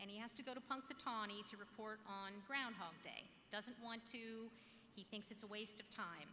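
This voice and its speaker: Using an unremarkable speaking voice, a woman with a fairly high pitch talks at a moderate pace with fairly even intonation over light background noise. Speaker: school board member; speaker. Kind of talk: ceremony speech. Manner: conversational. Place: hall. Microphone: podium.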